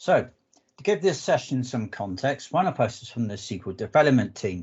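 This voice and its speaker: A man with a southwest English accent speaks at a moderate pace in a somewhat breathy medium pitch that swings very widely. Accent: English, southwest UK. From southwest England. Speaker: analytics architect, conference speaker. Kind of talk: technical presentation.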